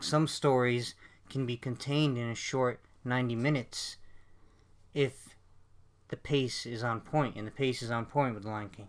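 In a very clean recording with a silent background, a man speaks at medium pitch and a moderate pace with fairly even intonation in an unremarkable speaking voice. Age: 20s. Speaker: film podcast host. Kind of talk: casual chat.

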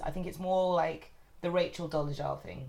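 A woman speaks at a moderate pace in a London accent. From north London, England. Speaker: guest, friend hosting the recording. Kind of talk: casual chat. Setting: friend's flat.

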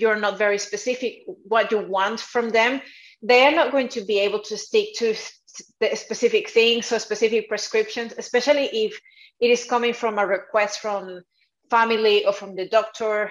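A woman talks at a moderate pace with a Spanish accent. Her pitch is fairly high. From South America. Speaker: dietitian and nutrition coach. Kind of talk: interview. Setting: video call.

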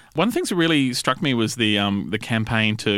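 With an Australian accent and a bright, sharp tone, a man speaks very fast in a fairly low pitch with lively intonation on a very clean recording with a silent background. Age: 40s. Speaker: podcast host, magazine writer. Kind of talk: interview.

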